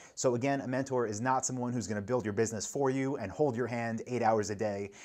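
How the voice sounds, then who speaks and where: Someone with an American accent talks at a very fast pace with fairly even intonation. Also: man, medium pitch for a man. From New York. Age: 30s. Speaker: online entrepreneur and business vlogger. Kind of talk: casual vlog advice talk. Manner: conversational, filler-heavy.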